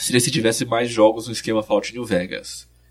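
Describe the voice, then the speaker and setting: Somewhat breathy, this man speaks at a medium pitch. His pace is moderate. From interior of São Paulo state, Brazil. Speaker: video game researcher and author. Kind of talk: casual interview.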